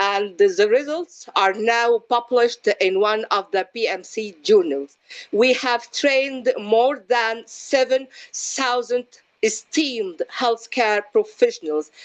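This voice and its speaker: With an Arabic accent, a woman with a fairly high pitch speaks at a very slow pace with lively intonation, the sound dry and close with no echo. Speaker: physician and research educator. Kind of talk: panel discussion. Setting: video call. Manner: loud; halting.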